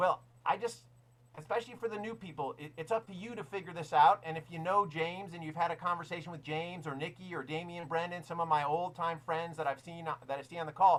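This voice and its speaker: Very fast, animated delivery with ordinary pitch variation and big swings in loudness. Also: man, high pitch for a man. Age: 60s. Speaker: network marketing mentor. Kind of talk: motivational talk.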